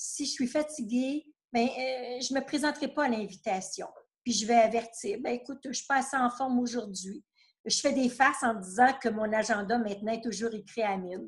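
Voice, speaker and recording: A woman in a Quebec accent talks at a high pitch and a moderate pace with ordinary pitch variation. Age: 60s. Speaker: retired therapist. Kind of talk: interview testimony.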